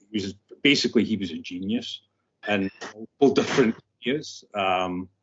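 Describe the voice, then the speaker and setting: A man speaks in a strong Scottish accent. His pitch is fairly low and his pace is moderate. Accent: Scottish, thick. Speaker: scientist. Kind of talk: interview.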